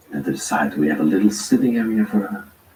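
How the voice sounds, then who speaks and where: Noticeable background noise behind a man's moderate-paced speech. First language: not English. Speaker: urban explorer vlogger. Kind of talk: live tour narration.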